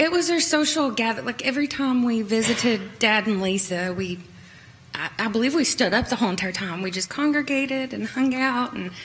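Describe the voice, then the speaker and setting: A woman with an Appalachian accent speaks over noticeable background noise, with audible echo from the room. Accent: Appalachian US Southern. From Kingsport, Tennessee. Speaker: trial witness, civil designer. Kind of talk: court testimony. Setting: courtroom. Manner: soft-spoken.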